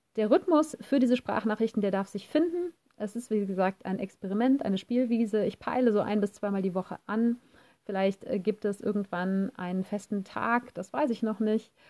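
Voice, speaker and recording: In a dry, close recording with no echo, a woman speaks at a moderate pace with a fairly high pitch, ordinary pitch variation and a dark, mellow tone. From Germany, Cologne. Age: 40s. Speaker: podcaster and life coach. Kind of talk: casual voice message monologue.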